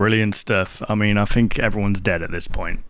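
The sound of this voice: With fairly even intonation, a man talks at a moderate pace and a fairly low pitch.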